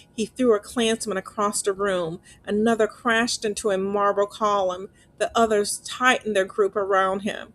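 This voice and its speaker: A woman's medium-pitched voice with fairly even intonation, music in the background. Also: moderate pace. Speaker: narrator. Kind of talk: horror story narration.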